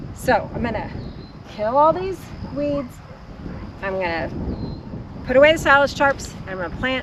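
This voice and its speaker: Over noticeable background noise, a woman with an American accent talks at a high pitch with very wide pitch swings. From Texas. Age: 60s. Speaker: homesteader. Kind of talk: video tour narration. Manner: casual.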